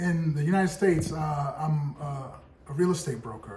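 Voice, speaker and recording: A man with an American accent talks in a fairly high pitch, with noticeable background noise and audible room echo around him. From US, Brooklyn, New York. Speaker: podcast co-host, real estate broker. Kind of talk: casual discussion.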